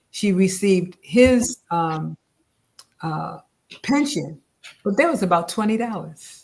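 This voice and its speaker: A woman with an American accent speaks at a very slow pace in a medium pitch, sounding somewhat breathy. Her speech has long, frequent pauses. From upstate New York. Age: 70s. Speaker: author and descendant. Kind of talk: interview.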